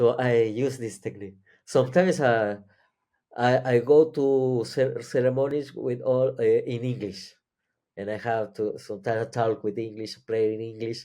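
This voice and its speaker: A man with a non-native accent, medium pitch and a dark, mellow tone, over a quiet background. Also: fairly even intonation, moderate pace. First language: Spanish or Catalan. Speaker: psychedelic experience sharer. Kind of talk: interview. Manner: halting.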